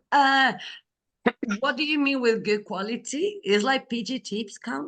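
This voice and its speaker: In a Spanish accent, a woman speaks high-pitched at a fairly slow pace with lively intonation. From Spain. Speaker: program coordinator. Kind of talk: online group briefing. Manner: casual, many fillers.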